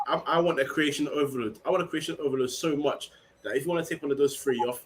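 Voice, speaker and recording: A man with a London accent, fairly high in pitch, at a very fast pace. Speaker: football podcast panelist. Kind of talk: casual chat. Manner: animated.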